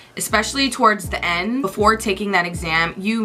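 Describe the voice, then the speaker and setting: A woman speaks at a fairly quick pace with fairly even intonation. Noticeable background noise is present. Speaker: radiologic technology graduate and vlogger. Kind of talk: casual advice vlog. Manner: fast; casual, chatty.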